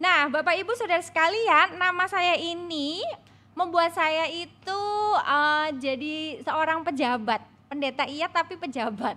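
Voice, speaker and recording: With a strong Javanese accent, a woman uses a raised, projected voice at an extremely high pitch, bright and sharp in tone, moving at a fairly slow pace with ordinary pitch variation. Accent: Javanese, thick medok. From Javanese-Batak. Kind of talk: preacher addressing congregation.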